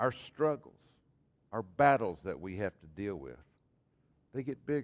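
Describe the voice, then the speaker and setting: This man has a Texan accent, a medium pitch and vocal fry. He goes at a fairly slow pace with very wide pitch swings. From Texas. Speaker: pastor. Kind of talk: sermon.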